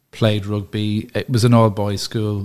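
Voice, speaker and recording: A man speaks with a Dublin accent. The recording is very clean, with a silent background. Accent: Dublin Irish. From Dublin, Ireland. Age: 40s. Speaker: cafe owner. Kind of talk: casual chat.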